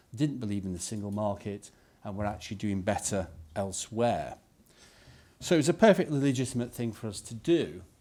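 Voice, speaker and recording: Lively intonation and big swings in loudness mark this fairly quick delivery in a Yorkshire accent. The tone is dark and mellow, on a very clean recording with a silent background. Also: man, fairly low pitch for a man. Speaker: politician, former business leader. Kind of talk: press conference speech. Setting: press conference.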